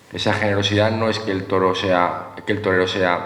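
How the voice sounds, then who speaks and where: A man at a fairly slow pace with fairly even intonation, amid noticeable background noise and audible room echo. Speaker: former picador, veterinarian. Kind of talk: panel talk.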